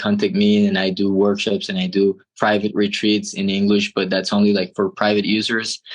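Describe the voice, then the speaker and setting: This man has a Spanish accent and a fairly low pitch. His pitch variation is ordinary. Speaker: transpersonal therapist. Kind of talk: casual interview conversation.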